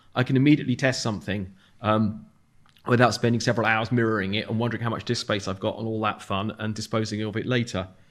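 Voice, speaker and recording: Talking at a very fast pace in a southern English accent, a man keeps a medium pitch and fairly even intonation. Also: very clean recording, silent background. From London, England. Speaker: software developer. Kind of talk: conference talk.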